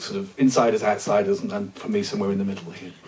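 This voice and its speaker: Speaking with a British accent, a man shows very wide pitch swings. There is noticeable background noise. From Britain. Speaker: linguistics professor. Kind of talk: panel discussion. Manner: halting, many fillers.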